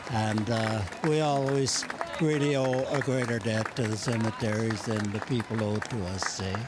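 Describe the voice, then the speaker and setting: Amid crowd noise and audible room echo, a man in a Canadian accent speaks at a moderate pace. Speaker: war veteran. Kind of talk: street interview. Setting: outdoors.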